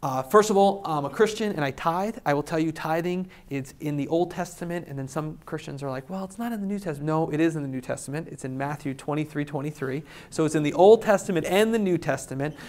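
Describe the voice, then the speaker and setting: This man moves along at a fairly quick clip. His voice sits fairly high, and its pitch shifts in an ordinary way. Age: 40s. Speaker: real estate investor. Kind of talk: talk to live audience. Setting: stage with audience. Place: hall.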